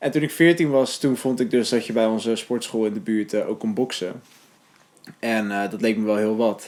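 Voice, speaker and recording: Noticeable background noise accompanies a man talking at a fairly quick pace. His pitch is medium. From Netherlands, Hellevoetsluis (Rotterdam region). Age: 20s. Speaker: documentary interviewee. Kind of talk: documentary interview. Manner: hesitant, many filler sounds.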